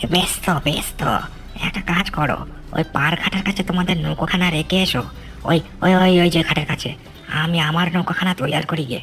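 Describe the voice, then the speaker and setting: A cartoonish character voice at middle pitch and moderate pace, with clear background noise. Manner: folksy, laughing, evasive.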